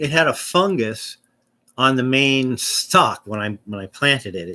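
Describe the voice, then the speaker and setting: In an American accent, the speaker talks very slowly with lively intonation and a bright, sharp tone. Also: man. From US, southern California. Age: 60s. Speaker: vlogger. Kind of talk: casual rambling vlog. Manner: halting, many restarts and fillers.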